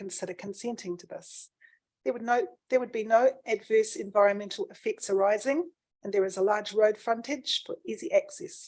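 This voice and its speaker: In a New Zealand accent, a woman speaks with a fairly high pitch and big swings in loudness. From New Zealand, Canterbury. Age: 60s. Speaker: submitter at a council planning hearing. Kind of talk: formal submission reading. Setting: council hearing.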